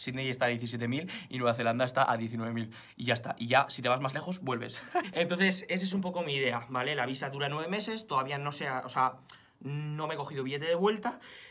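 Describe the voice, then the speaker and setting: A man with a Spanish accent, medium-pitched and animated in tone, talking at a fairly quick pace with ordinary pitch variation. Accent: Spanish (Spain). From Spain. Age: 20s. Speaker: fitness vlogger. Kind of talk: vlog to camera. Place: home room. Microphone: phone near.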